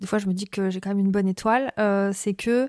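Her voice has a dark, mellow tone and medium pitch, with fairly even intonation at a fairly quick pace. The woman's sound is dry and close with no echo. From France, raised abroad (Spain, Morocco, Argentina). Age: 30s. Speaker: business founder and career coach. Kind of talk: interview. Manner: hesitant, many fillers.

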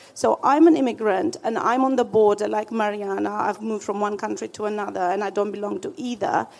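Over noticeable background noise, a woman with a fairly high pitch talks at a fairly quick pace with ordinary pitch variation and hardly any pauses. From Romania. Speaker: audience member. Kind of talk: audience question. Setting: stage with audience.

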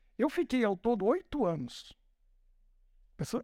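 With a dry, close sound and no echo, a man speaks at an extremely high pitch, his voice making very wide pitch swings. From Brazil, São Paulo. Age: 50s. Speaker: pastor. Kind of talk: sermon. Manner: informal, joking.

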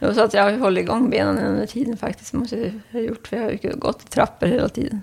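With noticeable background noise behind her, a woman rattles along at a very fast pace in a fairly high pitch, leaving hardly any pauses. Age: 50s. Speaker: patient with Parkinson's, office worker. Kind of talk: interview. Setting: at home, in kitchen.

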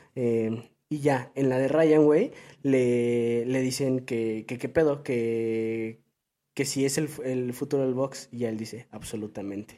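A man with a Mexican accent, medium pitch, dark, mellow tone, fairly even intonation and a very slow pace. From Mexico. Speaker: football podcast co-host. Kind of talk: casual chat.

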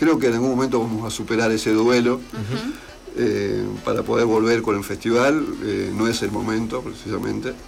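Music plays in the background as a man speaks with fairly even intonation amid audible room echo. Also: medium pitch for a man, moderate pace. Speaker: poet and journalist. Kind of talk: interview. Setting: radio studio.

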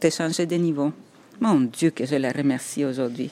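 The accent is Spanish. It belongs to a woman. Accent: Spanish accent, rolled r's. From El Salvador. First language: Spanish (speaking French). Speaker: architect and writer. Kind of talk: interview, personal storytelling. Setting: on location walking around Montreal. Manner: halting, repeats words.

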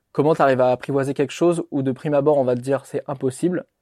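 A man's dark, mellow voice with fairly even intonation, the sound dry and close with no echo. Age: 30s. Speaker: YouTuber and author. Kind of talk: interview conversation.

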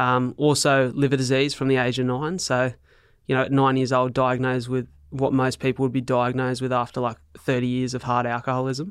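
Against a quiet background, a speaker with an Australian accent talks at a fairly quick pace in a monotone, flat intonation. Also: man, medium pitch for a man. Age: 20s. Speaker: keynote speaker with cystic fibrosis. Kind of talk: podcast interview, personal storytelling.

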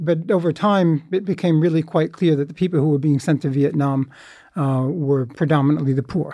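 Against a quiet background, a man talks at a fairly quick pace in a fairly high, dark and mellow voice, with very even loudness and ordinary pitch variation. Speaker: peace activist. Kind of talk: interview discussion.

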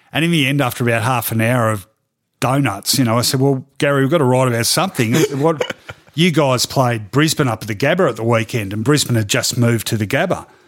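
Speaking at a very fast pace, a man uses an Australian accent. His pitch is medium with ordinary variation. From Melbourne, Australia. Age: 50s. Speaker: sports journalist. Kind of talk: casual interview. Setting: studio.

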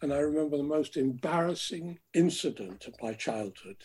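At a moderate pace, a man speaks with lively intonation in a fairly high, somewhat breathy voice with a dark, mellow tone. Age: 70s. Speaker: river swimmer and campaigner. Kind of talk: interview, reminiscing. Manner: articulate, passionate.

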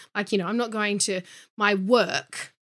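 A woman's medium-pitched voice with a bright, sharp tone and an Australian accent, at a fairly quick pace with ordinary pitch variation. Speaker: model and body positivity activist. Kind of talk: interview. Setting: video call.

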